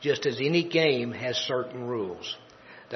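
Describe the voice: The speaker is doing plain reading aloud, with ordinary pitch variation.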